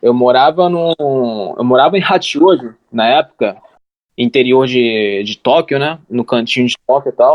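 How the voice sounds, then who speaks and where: At a fairly slow pace, a man with an ordinary speaking voice speaks with ordinary pitch variation. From Japan, raised by Brazilian parents. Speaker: translator and YouTuber. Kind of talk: casual chat.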